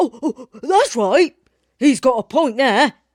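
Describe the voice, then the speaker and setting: In a put-on character voice, the speaker growls at a high pitch and a fairly slow pace. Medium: read story.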